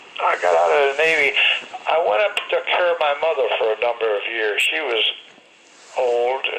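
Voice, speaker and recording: A man with lively intonation at a fairly slow pace, over noticeable background noise. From Connecticut. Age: 80s+. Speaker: war veteran. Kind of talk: interview. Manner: halting.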